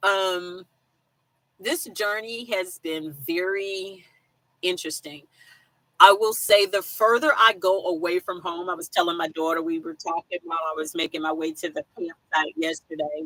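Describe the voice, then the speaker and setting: An animated woman's voice with an American accent, fairly low in pitch, bright and sharp in tone, dry and close with no echo. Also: ordinary pitch variation, moderate pace, big swings in loudness. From South Carolina. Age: 50s. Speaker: van life vlogger. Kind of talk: live stream chat. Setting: live stream from campsite with weak signal.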